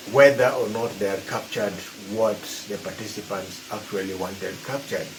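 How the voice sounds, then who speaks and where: This man, with a Kenyan accent, talks at a fairly quick pace in a fairly low pitch with fairly even intonation. Background noise is noticeable. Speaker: evaluator. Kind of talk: presentation to camera.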